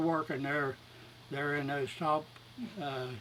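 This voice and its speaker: A man talks with an Appalachian accent. His intonation is fairly even. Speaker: elderly relative. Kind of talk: casual chat.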